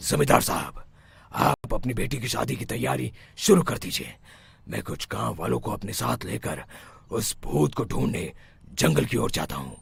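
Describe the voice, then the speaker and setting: A man's cartoonish character voice, very deep and low in pitch, with very wide pitch swings at a moderate pace. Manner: authoritative.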